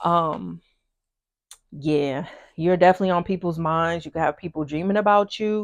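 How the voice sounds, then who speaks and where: In a very clean recording with a silent background and a dry, close sound without echo, a woman speaks at a fairly low pitch in a monotone, flat intonation. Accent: American. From US, military kid, hometown Hampton Roads, Virginia. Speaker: tarot reader. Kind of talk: pick-a-card tarot reading. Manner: fast; casual, many fillers.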